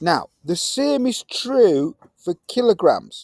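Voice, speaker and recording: With a Yorkshire accent, a man speaks in an energetic tone, the sound dry and close with no echo. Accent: broad Yorkshire. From Yorkshire, northern England. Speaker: science teacher. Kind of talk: classroom lesson. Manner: casual, energetic.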